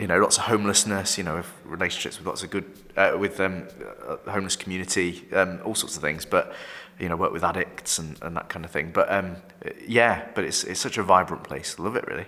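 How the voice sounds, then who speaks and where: A man talks with a Yorkshire accent. His pace is very fast. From northern England, York. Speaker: vicar. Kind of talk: casual chat. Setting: office recording. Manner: halting, many repetitions.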